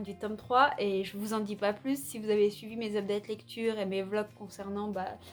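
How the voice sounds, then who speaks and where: With music in the background, the speaker holds a moderate pace and fairly even intonation. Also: woman. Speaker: booktuber. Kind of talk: casual vlog about books. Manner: hesitant with many fillers.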